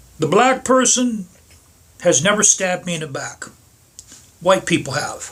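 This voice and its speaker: With an American accent and lively intonation, a man speaks at a high pitch, leaving long, frequent pauses. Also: moderate pace. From Pittsburgh, US. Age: 60s. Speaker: motorcycle vlogger. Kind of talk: casual monologue vlog. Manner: halting, repetitive.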